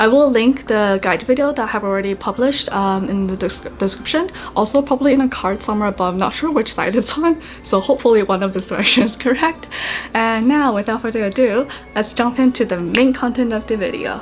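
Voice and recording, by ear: Speaking at a fairly quick pace with few pauses, a woman uses a fairly high pitch and ordinary pitch variation against faint background noise.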